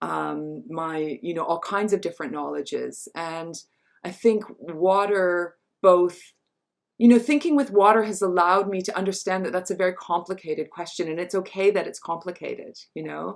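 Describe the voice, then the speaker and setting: An American accent marks a woman's speech, delivered at a medium pitch and moderate pace with ordinary pitch variation and big swings in loudness. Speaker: feminist scholar and writer. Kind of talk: online talk conversation. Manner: halting, many fillers.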